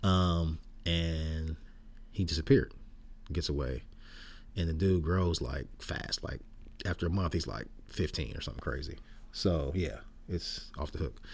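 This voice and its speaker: Using a very deep, low pitch with vocal fry, a man with an American accent speaks with ordinary pitch variation and long, frequent pauses. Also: moderate pace. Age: 60s. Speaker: podcast host. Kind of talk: casual chat. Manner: casual, laid-back.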